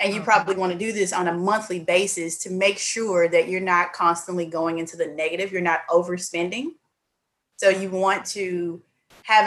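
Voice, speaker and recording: A woman with a Southern US accent, medium pitch, fairly quick pace and fairly even intonation. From Mississippi. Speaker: accountant. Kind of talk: casual interview.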